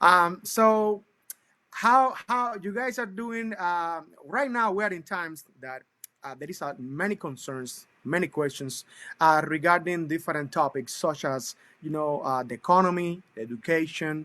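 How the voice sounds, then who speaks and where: A bright, sharp tone with lively intonation, big swings in loudness and a Cuban accent. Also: man, high pitch for a man, fairly slow pace. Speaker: talk show host. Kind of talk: interview show introduction. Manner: enthusiastic; halting, many fillers.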